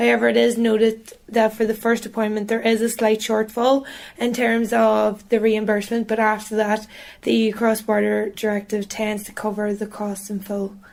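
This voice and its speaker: A Northern Irish accent at a moderate pace with monotone, flat intonation. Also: woman, fairly high pitch for a woman. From Northern Ireland. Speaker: journalist. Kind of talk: interview.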